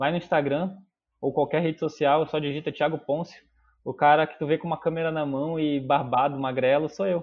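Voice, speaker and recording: A man's fairly high voice at a moderate pace, monotone with flat intonation. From Manaus, Brazil. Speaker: videomaker. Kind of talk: casual chat.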